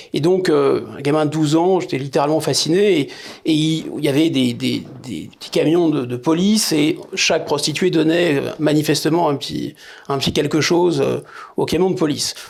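A man with a normal speaking voice and fairly high pitch talks at a moderate pace with fairly even intonation. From France, Paris suburbs. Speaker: political scientist and essayist. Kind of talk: interview.

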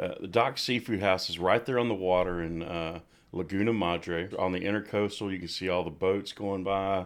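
His pitch is very deep and low. The man talks at a moderate pace with fairly even intonation. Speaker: musician and singer. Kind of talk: casual chat. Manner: halting, many fillers.

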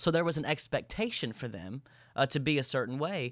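The man's fairly high pitch moves with ordinary variation on a very clean recording with a silent background. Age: 20s. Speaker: youth and worship pastor. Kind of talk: casual interview chat. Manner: loud, animated.

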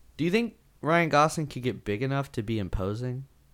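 On a very clean recording with a silent background, a man speaks at a moderate pace and medium pitch with lively intonation. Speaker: podcast co-host. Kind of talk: casual chat. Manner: energetic.

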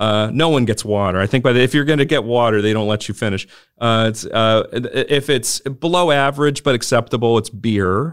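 A man with an American accent speaks at medium pitch with ordinary pitch variation. He keeps a very even loudness and leaves hardly any pauses. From Texas, Houston. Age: 40s. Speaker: politics professor. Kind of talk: interview. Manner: hesitant with many fillers.

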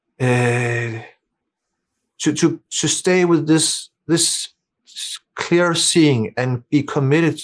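In a Danish accent, a man talks at a very slow pace and a fairly high pitch. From Denmark. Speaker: meditation teacher. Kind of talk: casual chat. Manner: halting.

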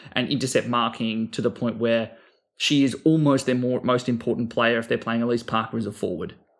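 Fairly even intonation from a man, medium in pitch and fairly quick in pace. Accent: Australian. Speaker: fantasy sports podcast co-host. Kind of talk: casual chat.

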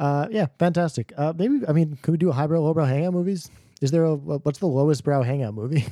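A man with an American accent talks at a very fast pace in a fairly high pitch, with a dark, mellow tone and ordinary pitch variation. His loudness stays very even, and the recording is very clean with a silent background. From New York. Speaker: film podcast co-host. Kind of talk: casual chat. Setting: studio recording.

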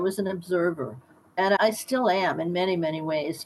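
In an American accent, a woman speaks at a fairly low pitch with lively intonation. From US Midwest, south of Chicago. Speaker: doctor. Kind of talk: interview. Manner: animated.

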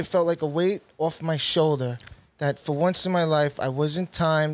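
A man with a New York accent, fairly high-pitched, his intonation fairly even and his pace moderate. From Queens, New York City. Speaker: basketball referee and DJ. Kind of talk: casual interview.

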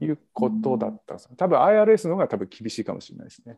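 A man's fairly quick speech in a dry, close sound with no echo. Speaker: podcast panelist. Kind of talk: casual chat. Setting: video call.

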